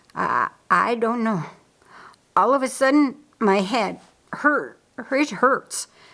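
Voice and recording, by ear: A woman's put-on character voice, fairly high in pitch and slow, with lively intonation, vocal fry and a bright, sharp tone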